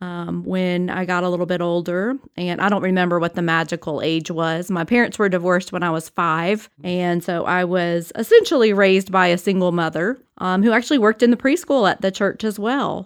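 In an American accent, the speaker moves at a fairly quick pace with hardly any pauses and ordinary pitch variation, on a very clean recording with a silent background. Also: woman, medium pitch for a woman. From South Florida, Homestead. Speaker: pastor. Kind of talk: casual interview, personal testimony. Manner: halting, many fillers.

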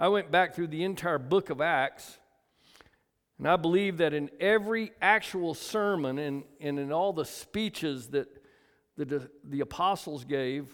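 On a very clean recording with a silent background, a man with a fairly high voice speaks at a fairly slow pace with ordinary pitch variation. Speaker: pastor. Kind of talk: sermon. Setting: church. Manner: loud.

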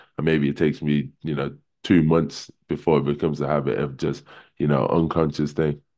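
A man with a very deep, low pitch and a dark, mellow tone talks in a flat monotone with vocal fry. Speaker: basketball team captain. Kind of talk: casual chat.

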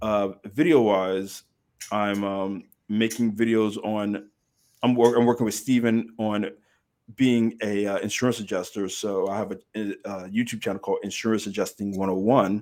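On a very clean recording with a silent background, a man with an American accent uses a normal speaking voice, fairly low in pitch, at a moderate pace with fairly even intonation. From Texas, Dallas-Fort Worth area. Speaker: former English teacher in Korea. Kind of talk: casual chat.

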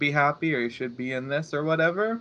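A man speaks at a fairly high pitch with a bright, sharp tone. The background is quiet. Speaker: meditation group member. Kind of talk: casual chat.

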